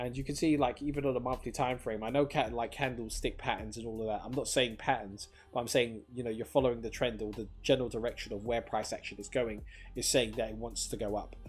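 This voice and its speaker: With vocal fry and a medium pitch, a man speaks at a very fast pace using fairly even intonation. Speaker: crypto livestreamer. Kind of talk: casual livestream commentary. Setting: livestream. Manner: filler-heavy, casual.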